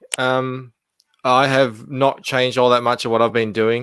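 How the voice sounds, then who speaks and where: This man speaks with an Australian accent. His pitch is medium. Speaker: comic book creator. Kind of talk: casual chat. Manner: halting, many fillers.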